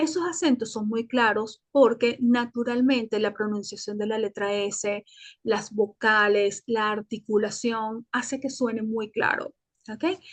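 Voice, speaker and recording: The woman's voice sits fairly high and moves with ordinary pitch variation at a fairly slow pace. The sound is dry and close with no echo, and the background is quiet. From Venezuela, Caracas. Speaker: Spanish teacher and journalist. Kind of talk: interview. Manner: hesitant, with fillers and self-repairs.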